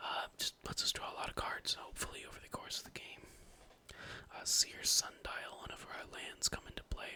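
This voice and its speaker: A man is whispering at a moderate pace. His loudness swings widely. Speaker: ASMR channel host and card game deck tech creator. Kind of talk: casual deck tech talk to camera. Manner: whispered, soft-spoken, ASMR style.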